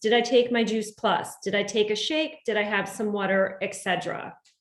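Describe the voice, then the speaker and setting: A plain, everyday voice from a woman, fairly high-pitched and moderately paced. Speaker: medical professional sharing health tips. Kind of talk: online community presentation.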